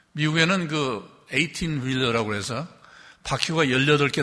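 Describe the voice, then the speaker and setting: In a room with audible echo, a man with a fairly high voice and a bright, sharp tone speaks with ordinary pitch variation. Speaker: retired bishop. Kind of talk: sermon. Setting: church.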